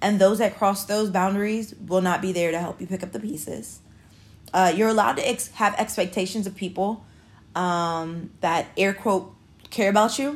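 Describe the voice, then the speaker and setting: Speaking in an unremarkable speaking voice, a woman keeps a medium pitch, ordinary pitch variation and a moderate pace. The recording is very clean, with a silent background. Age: 30s. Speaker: podcast host. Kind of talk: casual monologue. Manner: casual, many filler words.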